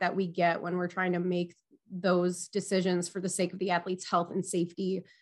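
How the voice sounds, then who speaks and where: A woman talks at a fairly quick pace. She speaks with a Minnesotan accent. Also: quiet background. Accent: Minnesotan, long O's. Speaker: athletic trainer and EMT. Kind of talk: interview conversation.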